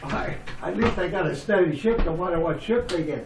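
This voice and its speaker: A man with lively intonation at a moderate pace, over noticeable background noise. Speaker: retired steelworker and mechanic. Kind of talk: family storytelling, reminiscing.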